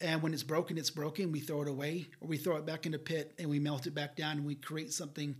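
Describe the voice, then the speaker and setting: Fairly high in pitch and somewhat breathy, a man speaks at a fairly quick pace. His intonation is monotone and flat. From New Mexico pueblos (Hopi, Zuni, Laguna). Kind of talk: podcast interview.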